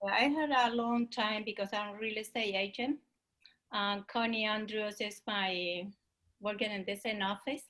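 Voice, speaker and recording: A woman speaks at a moderate pace in a fairly high voice, with a strong Spanish accent and fairly even intonation. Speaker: real estate agent. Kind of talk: casual chat. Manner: halting.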